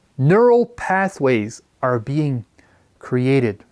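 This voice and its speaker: A man with a Quebec accent speaks at a very slow pace, his fairly high pitch showing very wide swings. The recording is very clean, with a silent background. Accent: French Canadian accent in English. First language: French. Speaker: educator. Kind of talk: lecture.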